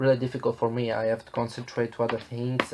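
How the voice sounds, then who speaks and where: A man speaks at a medium pitch with flat, monotone intonation. Noticeable background noise runs behind him. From southern Italy. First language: Italian. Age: 20s. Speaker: travel vlogger. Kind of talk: casual vlog monologue. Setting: at home. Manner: hesitant, many fillers.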